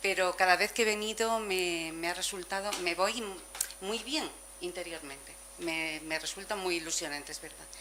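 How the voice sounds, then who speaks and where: A woman speaks at medium pitch with a bright, sharp tone. Her pace is moderate and her pitch varies in an ordinary way. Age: 70s. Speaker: seminar participant. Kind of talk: testimony.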